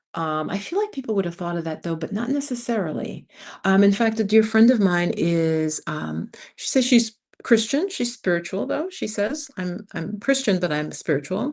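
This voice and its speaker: A plain, everyday voice from a woman, medium in pitch and lively in intonation, at a moderate pace over a quiet background. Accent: American. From New York City, US Northeast (early childhood in Jamaica). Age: 60s. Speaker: expat YouTuber, former community college teacher. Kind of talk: casual livestream chat. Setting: live stream from home.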